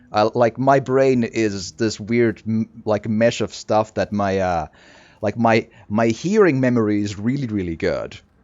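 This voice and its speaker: A man with a non-native accent speaks at a fairly slow pace in a medium pitch, with ordinary pitch variation. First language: not English. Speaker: video game streamer. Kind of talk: let's play commentary.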